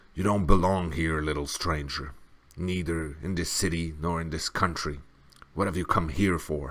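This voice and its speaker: A man's put-on, growling character voice, very deep and low, at a moderate pace. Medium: read story. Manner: growling, low.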